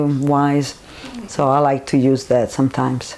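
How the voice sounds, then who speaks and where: In a strong Roman accent, a woman speaks at a very slow pace with a dark, mellow tone. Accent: strong Roman Italian. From Italy, Rome. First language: Italian. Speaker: Italian teacher. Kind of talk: interview.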